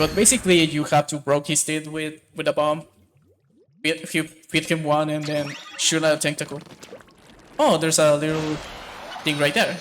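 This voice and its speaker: A man's fairly high voice with a non-native accent, at a moderate pace, in a flat monotone, with long and frequent pauses. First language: not English. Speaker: speedrunner. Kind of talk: live gameplay commentary. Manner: halting.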